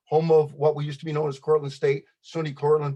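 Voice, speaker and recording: Somewhat breathy, a man with an American accent talks at a fairly high pitch. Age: 70s. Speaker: public commenter. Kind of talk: public testimony. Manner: fast.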